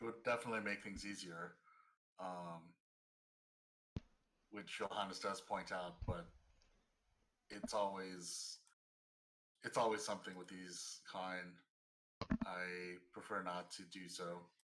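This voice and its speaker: A man's raspy put-on character voice, very deep and low in pitch, at a fairly slow pace with long, frequent pauses. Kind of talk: in-character roleplay. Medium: actual play.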